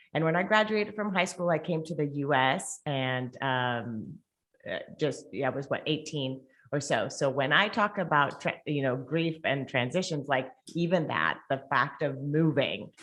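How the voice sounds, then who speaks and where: A woman's very deep, low pitch, with ordinary pitch variation, a moderate pace, and a quiet background. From Colombia. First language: Spanish. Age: 40s. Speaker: podcast host. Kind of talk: interview.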